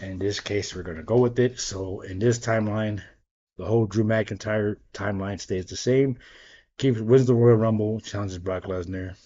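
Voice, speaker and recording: In a normal speaking voice, a man with a fairly low pitch speaks at a moderate pace with fairly even intonation and big swings in loudness. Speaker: wrestling YouTuber. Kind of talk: casual solo commentary to camera. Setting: home dining room. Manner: casual, filler-heavy (um, like I said).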